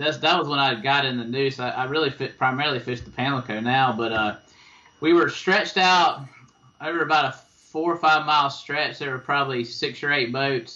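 This man speaks at a fairly quick pace in a fairly high pitch with an eastern North Carolina accent. His pitch varies in an ordinary way. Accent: eastern North Carolina Southern. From eastern North Carolina (Tarboro). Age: 40s. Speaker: fishing guide. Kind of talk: interview. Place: home room. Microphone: video call.

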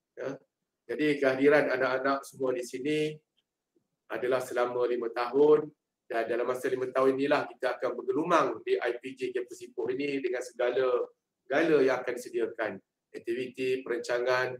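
A man speaks with a Malaysian accent at a moderate pace. Room echo is audible. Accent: Malaysian Malay. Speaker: head of student affairs department. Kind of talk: online briefing to new students. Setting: video call. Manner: casual, chatty. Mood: friendly, jovial. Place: office. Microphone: video call.

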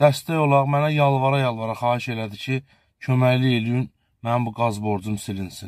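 Delivered at a fairly slow pace with fairly even intonation, the voice has a dry sound with no echo against a quiet background. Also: man. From Azerbaijan. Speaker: local video blogger. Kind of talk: charity appeal to viewers. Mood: earnest, pleading. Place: car. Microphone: phone near.

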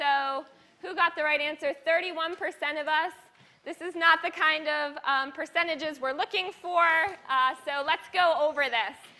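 Bright and sharp in tone, a woman speaks in a raised, projected voice. Her intonation is fairly even. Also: fairly slow pace. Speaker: university lecturer. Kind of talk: lecture. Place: hall. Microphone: lapel.

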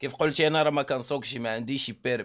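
A man is talking, his intonation fairly even. Nothing much stirs in the quiet background. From Morocco. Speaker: streamer. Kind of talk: angry rant. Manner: heated; repetitive. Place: home room. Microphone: studio mic.

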